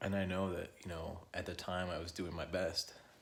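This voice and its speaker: A soft-spoken, somewhat breathy man's voice with a very deep, low pitch. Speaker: vlogger sharing personal experience. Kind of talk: personal testimony. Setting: at home. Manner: quiet, soft-spoken; halting, hesitant.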